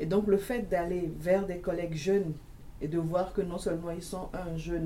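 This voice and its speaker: With audible room echo, a woman speaks at a fairly quick pace in a fairly low pitch and fairly even intonation. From Togo. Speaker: university teacher union member. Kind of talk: panel discussion. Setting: studio.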